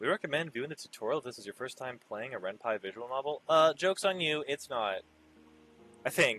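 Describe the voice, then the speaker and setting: An unremarkable speaking voice from a man, fairly high-pitched with lively intonation and a fairly quick pace, in a dry, close sound with no echo. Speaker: amateur voice actor. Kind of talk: casual talk to camera.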